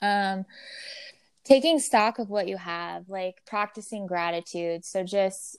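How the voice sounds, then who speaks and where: In a very clean recording with a silent background and a dry, close sound with no echo, a woman speaks fairly slowly in a plain, everyday voice at medium pitch with ordinary pitch variation. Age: 30s. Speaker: podcast host. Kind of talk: casual chat.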